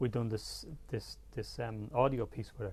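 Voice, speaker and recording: A man with a Dublin accent speaks at a fairly low pitch. His intonation is fairly even, with vocal fry. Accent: Dublin Irish. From Ireland, Dublin. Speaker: photographer. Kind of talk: interview conversation. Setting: studio. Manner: soft-spoken.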